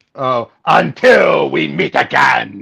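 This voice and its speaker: A raspy, theatrical put-on character voice from a man. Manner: villainous, theatrical.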